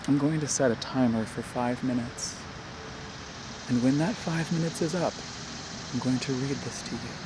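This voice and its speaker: Long, frequent pauses break up the speech, and there is noticeable background noise. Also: moderate pace. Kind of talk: ASMR softly spoken reflection. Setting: outdoors.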